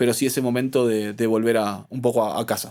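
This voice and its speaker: A man speaks with an Argentine accent at a fairly quick pace. His intonation stays fairly even on a very clean recording with a silent background. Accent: Argentine (rioplatense). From Argentina, Buenos Aires. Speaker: sommelier. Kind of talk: interview conversation. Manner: halting, many repetitions and fillers.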